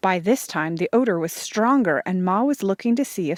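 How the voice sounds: Lively intonation in a natural reading voice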